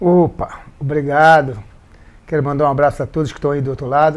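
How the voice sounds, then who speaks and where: The man's voice is fairly high in pitch. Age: 60s. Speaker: samba percussionist. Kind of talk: interview.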